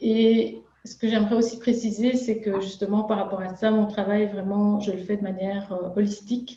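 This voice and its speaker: With audible room echo, a woman with a Belgian accent speaks at a fairly slow pace in a flat monotone, her medium-pitched voice dark, mellow and somewhat breathy. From Belgium. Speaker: nutritionist and chef. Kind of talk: interview. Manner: halting, many filler sounds.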